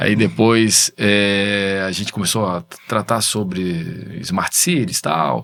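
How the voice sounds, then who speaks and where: Ordinary pitch variation carries the speech along at a very slow pace. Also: man, fairly low pitch for a man. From Brazil, Florianópolis. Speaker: tech entrepreneur, business association president. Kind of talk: videocast interview.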